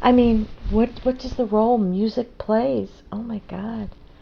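At a fairly slow pace, a woman speaks in a somewhat breathy voice of fairly high pitch. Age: 60s. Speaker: harpist and singer. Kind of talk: interview.

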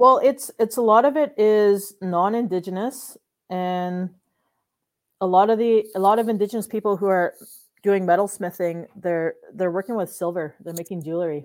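A woman speaks with a Canadian accent and an ordinary speaking voice. Her medium pitch varies in an ordinary way. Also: moderate pace. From Manitoulin Island, Ontario, Canada. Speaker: film producer and artist. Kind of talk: interview.

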